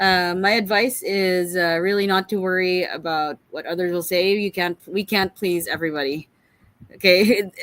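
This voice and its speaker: At a moderate pace, a woman with a normal speaking voice talks at a medium pitch with ordinary pitch variation. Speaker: corporate leader. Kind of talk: interview.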